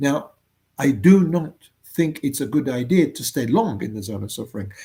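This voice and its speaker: Fairly high in pitch yet dark and mellow in tone, a man speaks at a moderate pace with lively intonation. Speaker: motivational speaker. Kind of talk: motivational talk. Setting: home office. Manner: loud; halting.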